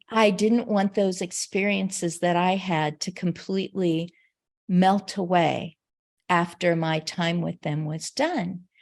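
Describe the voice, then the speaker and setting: Over a silent background on a very clean recording, a woman talks at a very slow pace. Her voice is fairly low in pitch, with fairly even intonation. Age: 60s. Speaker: caregiver and network founder. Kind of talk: interview. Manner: conversational, with fillers.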